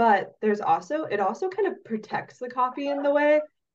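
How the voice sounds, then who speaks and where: A woman speaks at a fairly slow pace with lively intonation. Hers is an unremarkable speaking voice. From Oregon, US. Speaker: coffee roaster and former soil scientist. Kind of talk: casual interview.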